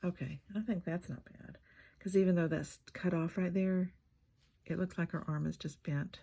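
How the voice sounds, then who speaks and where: A soft-spoken woman with a fairly low pitch, a dark, mellow, somewhat breathy tone, fairly even intonation and a moderate pace. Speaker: collage artist and craft channel host. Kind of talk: crafting tutorial narration. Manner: musing, thinking aloud.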